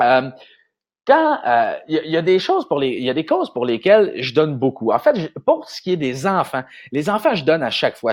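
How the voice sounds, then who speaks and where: In a Quebec accent, a man talks at a very fast pace with an animated tone. His voice is fairly high with lively intonation. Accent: Québécois French. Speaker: marketing consultant. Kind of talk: vlog-style business advice talk. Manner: animated, hesitant with many fillers.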